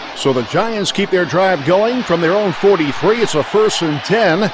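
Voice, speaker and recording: A man talks with lively intonation. Noticeable background noise runs under his voice. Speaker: sports play-by-play announcer. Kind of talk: football play-by-play commentary.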